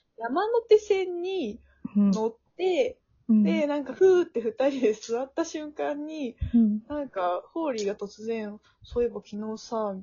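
A woman's high voice at a fairly slow pace, with very wide pitch swings and big swings in loudness. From Tokushima, Japan. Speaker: podcast co-host. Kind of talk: casual chat.

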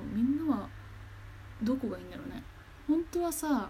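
Her voice carries a dark, mellow tone at a high pitch. The woman's intonation is lively. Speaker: podcaster. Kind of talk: casual monologue. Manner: animated.

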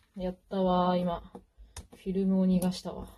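A moderate pace carries the speech. The voice has a somewhat breathy quality. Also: woman. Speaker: podcaster. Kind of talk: casual monologue while doing makeup. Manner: casual, chatty with laughter.

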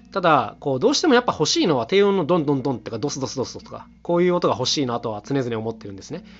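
Music plays behind a man who talks at a very fast pace with a fairly high pitch. His pitch swings very widely and his loudness rises and falls sharply. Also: hardly any pauses. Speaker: solo podcaster and instrument maker, household-goods music duo member. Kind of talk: solo monologue podcast. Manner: very fast talking; filler-heavy casual speech.

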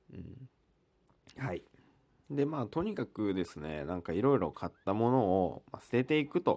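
A man's medium-pitched voice, dark and mellow in tone, with very wide pitch swings, a moderate pace and long, frequent pauses. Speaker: podcast host. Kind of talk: casual solo talk. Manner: halting, many fillers.

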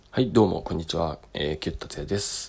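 A man's voice with vocal fry. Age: 30s. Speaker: choreographer and dance workshop instructor. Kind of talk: solo monologue podcast. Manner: halting, many filler words.

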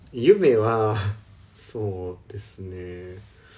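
The man speaks with a fairly low pitch. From Osaka, Japan. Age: 30s. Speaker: para swimmer and podcast co-host. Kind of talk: casual self-introduction interview.

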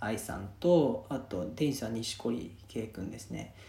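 A man's somewhat breathy voice with a dark, mellow tone swings very widely in pitch, with audible room echo. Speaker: podcast host. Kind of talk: casual monologue. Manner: relaxed, many fillers.

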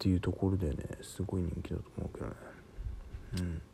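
A man's voice with a dark, mellow tone. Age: 30s. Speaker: podcaster. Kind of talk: solo monologue. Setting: home recording late at night. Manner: casual, filler-heavy.

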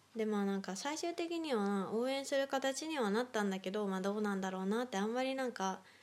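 A woman talks in a normal speaking voice at a fairly high pitch, with lively intonation and very even loudness. Her pace is fairly quick, with hardly any pauses. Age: 20s. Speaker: solo podcaster. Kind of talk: casual monologue.

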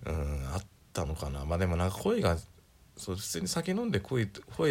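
A man talks at a fairly quick pace with a very deep, low pitch. His voice is somewhat breathy. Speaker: solo podcaster. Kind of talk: casual monologue. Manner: casual, rambling with fillers.

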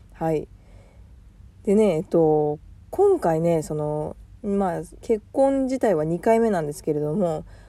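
A woman speaks at a fairly slow pace in a relaxed tone. Her pitch swings very widely. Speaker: podcast host, working mother. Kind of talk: casual personal monologue. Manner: relaxed, chatty with frequent fillers.

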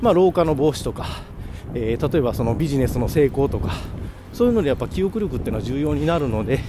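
A man speaks very fast in a fairly high pitch, with very wide pitch swings. Noticeable background noise runs underneath. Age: 40s. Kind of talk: casual solo talk. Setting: walking outdoors on the way to work, hands-free recording. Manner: halting with many fillers.

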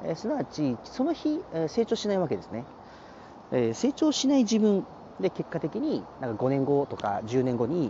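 This man talks at a moderate pace in a fairly high pitch, his voice making very wide pitch swings. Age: 30s. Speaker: chiropractor and personal trainer. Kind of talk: solo podcast monologue.

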